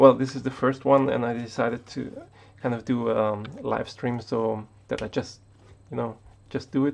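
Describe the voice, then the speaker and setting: Intonation stays fairly even. The speaker talks with a German accent. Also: man. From Austria. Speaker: tech YouTuber. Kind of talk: casual live stream monologue. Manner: halting, many fillers and repetitions.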